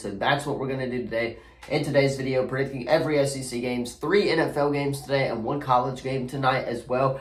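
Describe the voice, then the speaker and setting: Speech comes at a fairly quick pace. Both room echo and background noise are clearly audible. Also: man. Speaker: sports channel host. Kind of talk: casual sports predictions talk.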